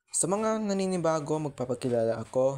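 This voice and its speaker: Lively in intonation, a man delivers his words at a fairly quick pace. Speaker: YouTuber and aspiring voice actor. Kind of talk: casual vlog introduction. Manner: fast.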